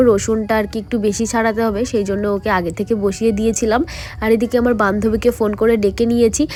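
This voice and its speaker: Pitched fairly high, a woman speaks in a monotone with flat intonation. Noticeable background noise is present. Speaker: lifestyle vlogger. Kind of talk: vlog narration.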